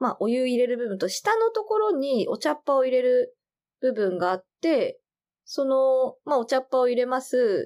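A woman's high pitch with very wide swings, at a moderate pace, on a very clean recording with a silent background. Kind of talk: casual chat.

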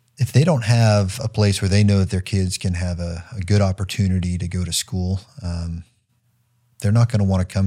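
A man with an American accent speaks at a fairly quick pace in a fairly low, somewhat breathy voice with a dark, mellow tone and ordinary pitch variation. The recording is very clean, with a silent background. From Massachusetts (Newburyport, north of Boston). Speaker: Air Force colonel. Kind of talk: interview conversation. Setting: studio.

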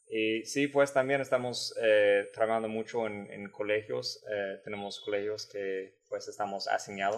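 A man with an American accent talks at a fairly slow pace with hardly any pauses. His loudness swings greatly. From San Antonio, Texas. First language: English (speaking Spanish). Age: 20s. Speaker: Peace Corps volunteer. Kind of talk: casual interview. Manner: halting, repeats words.

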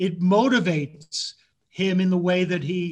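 This man's high voice comes out at a very unhurried speed. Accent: American. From New York City area (Bronx, Yonkers). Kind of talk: interview.

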